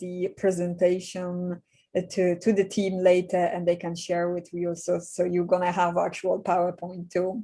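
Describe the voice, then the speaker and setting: A woman speaks in a Polish accent. Her medium-pitched voice has a dark, mellow tone. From Poland. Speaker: executive coach. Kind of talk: webinar presentation. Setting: video call.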